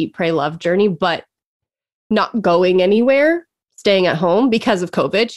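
A woman speaks in an ordinary speaking voice. Her pitch is medium and her pace moderate. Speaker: life and career coach. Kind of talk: casual chat. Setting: video call. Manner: laughs often.

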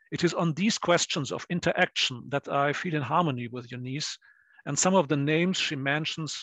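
An ordinary speaking voice from a man, fairly high in pitch, at a moderate pace with fairly even intonation, against a quiet background. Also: dry, close sound with no echo. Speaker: historian and discussant. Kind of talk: academic seminar discussion.

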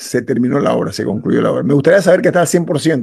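Against a quiet background, a man talks with vocal fry and ordinary pitch variation. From Panama. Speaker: radio host. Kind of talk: radio talk show. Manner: emphatic. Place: home room. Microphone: video call.

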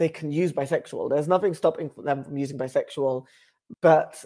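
A man with a British accent, fairly even intonation and a quiet background. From West London, England. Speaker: writer and public speaker. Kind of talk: casual explainer to camera. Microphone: earbuds.

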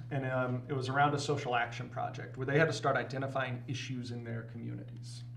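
A man with an American accent talks at a fairly quick pace in a normal speaking voice of medium pitch, with light background noise behind him. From northern US. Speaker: professor and advocacy volunteer; guest. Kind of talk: casual interview. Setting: studio. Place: studio.

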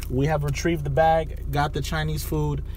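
Fairly quick male speech, with light noise in the background. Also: dry sound with no echo. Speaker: vlogger surprising girlfriend. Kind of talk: casual vlog chat. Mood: playful, excited. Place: car. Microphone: phone near.

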